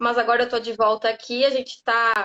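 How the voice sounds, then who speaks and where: Her high-pitched voice moves at a moderate pace as this woman talks. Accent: southern Brazilian. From southern Brazil, Rio Grande do Sul. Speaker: lawyer specializing in data protection. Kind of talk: live interview, explanatory. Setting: live stream on social media.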